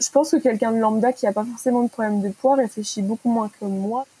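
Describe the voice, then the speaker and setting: Speaking at a fairly quick pace, a woman with a fairly high pitch keeps a fairly even intonation, the sound dry and close with no echo, though noticeable background noise is present. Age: 20s. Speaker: property manager sharing eating disorder story. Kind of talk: personal testimony.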